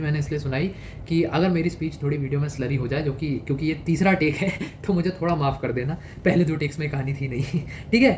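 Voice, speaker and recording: A man talks at a moderate pace, his pitch varying in an ordinary way, with audible room echo around him. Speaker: exam prep youtuber. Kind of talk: advice monologue. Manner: casual, conversational.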